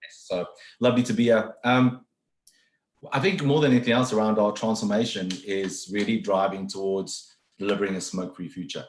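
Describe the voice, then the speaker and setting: With a strong South African accent, a man speaks at a fairly quick pace in a fairly low pitch, with ordinary pitch variation. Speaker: HR executive. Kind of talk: webinar interview. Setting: video call. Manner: fast.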